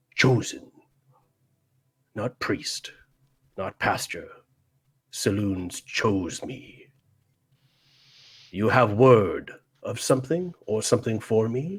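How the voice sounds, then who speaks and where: In a put-on character voice, gruff and rumbling at medium pitch, a man speaks at a very slow pace with long, frequent pauses, on a very clean recording with a silent background. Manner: gruff, weary.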